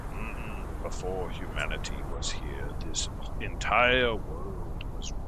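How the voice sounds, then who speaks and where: Loud background noise sits behind a man doing a put-on character voice. He speaks at a very slow pace. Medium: actual play. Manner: slow, measured, musing with "mm".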